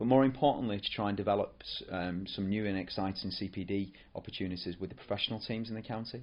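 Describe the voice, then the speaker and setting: A man's fairly low voice in a northern English accent, very fast with hardly any pauses and ordinary pitch variation. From northern England, near Rochdale. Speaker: football coach developer. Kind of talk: podcast monologue. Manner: hesitant, many fillers and repetitions.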